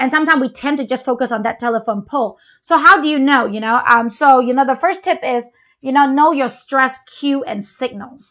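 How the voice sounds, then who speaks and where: Against a quiet background, a woman with a non-native accent talks at a fairly quick pace in a high, bright, sharp voice with ordinary pitch variation. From Malaysia. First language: not English. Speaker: parenting show co-host. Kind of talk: casual chat.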